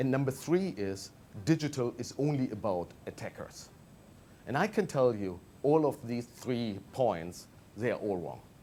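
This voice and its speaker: The voice has a dark, mellow tone and lively intonation, in a German accent. It moves at a fairly slow pace. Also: man, medium pitch for a man. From Germany. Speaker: management consultant. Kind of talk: TV interview.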